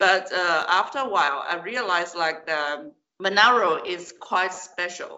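The speaker has a Chinese accent. The pace is fairly slow. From southern China. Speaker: Chinese teacher. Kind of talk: interview.

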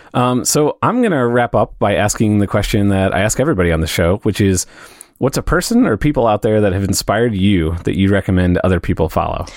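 A man with a Midwestern accent, fairly low in pitch, talking at a very fast pace with very even loudness and ordinary pitch variation. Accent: American Midwest. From US Midwest (St. Louis). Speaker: podcast host. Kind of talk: casual interview chat.

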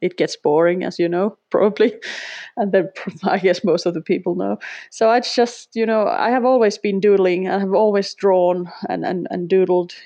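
Her pitch medium, a woman speaks at a moderate pace with fairly even intonation. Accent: Finnish. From Finland. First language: Finnish. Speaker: sketchnoter, former language teacher. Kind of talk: interview. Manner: halting, with repetitions.

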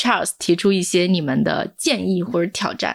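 At a fairly quick pace, a woman uses a normal speaking voice with a medium pitch and ordinary pitch variation. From Hunan, China. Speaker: podcast host, editor-in-chief. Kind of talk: interview moderation, casual.

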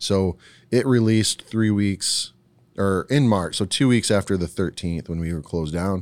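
A man's plain, everyday voice, fairly low-pitched, at a moderate pace with ordinary pitch variation. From Ohio, US Midwest, Puerto Rican parents. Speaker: brewery owner. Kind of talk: casual interview. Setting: at a brewery.

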